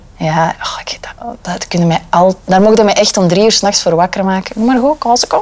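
Over noticeable background noise, a woman speaks at a fairly quick pace with hardly any pauses, at medium pitch and ordinary pitch variation. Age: 20s. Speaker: radio reporter. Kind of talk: casual chat.

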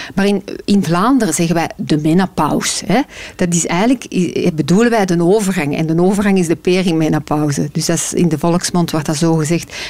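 Fairly quick speech in a Flemish accent, with ordinary pitch variation and very even loudness. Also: woman, fairly low pitch for a woman. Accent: Flemish Dutch. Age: 40s. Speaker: menopause consultant and author. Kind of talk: interview.

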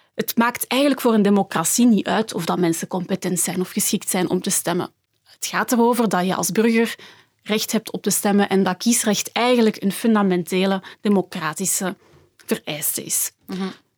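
A woman speaks in a plain, everyday voice at medium pitch and a moderate pace, with ordinary pitch variation, a dry, close sound with no echo, and a very clean recording over a silent background. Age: 20s. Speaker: political science researcher. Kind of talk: panel discussion.

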